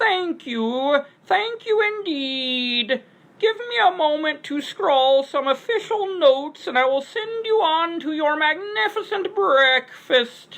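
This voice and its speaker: A woman's put-on character voice, squeaky and high, with very wide pitch swings, a fairly slow pace, and hardly any pauses. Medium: read story. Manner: drags out syllables, paternal and courteous.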